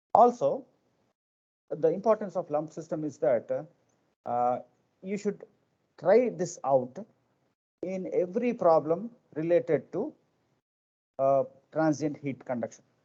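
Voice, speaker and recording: This man's voice is high-pitched, with a dark, mellow tone and lively intonation. He speaks at a fairly slow pace, with long, frequent pauses. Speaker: engineering lecturer. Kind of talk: lecture. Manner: quiet; halting, many fillers.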